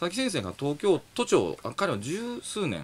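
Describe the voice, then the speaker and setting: A man's voice with vocal fry. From Japan, Nara; Japan. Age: 40s. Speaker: engineering professor; radio commentator, guest. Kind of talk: radio talk show interview. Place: studio.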